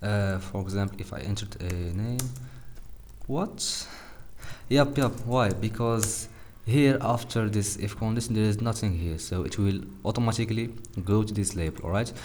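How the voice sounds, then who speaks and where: Speaking with a non-native accent at a fairly low pitch, a man keeps a moderate pace with long, frequent pauses and ordinary pitch variation, in audible room echo. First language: not English. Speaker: programming tutorial youtuber. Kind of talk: coding tutorial. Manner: halting, many fillers; casual.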